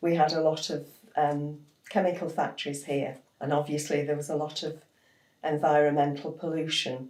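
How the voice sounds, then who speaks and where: Her pitch is very deep and low, and her intonation flat and monotone. The woman keeps a moderate pace, with audible room echo around her. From northern England, Widnes, Lancashire. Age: 80s+. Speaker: local historian and author. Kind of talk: interview reminiscence.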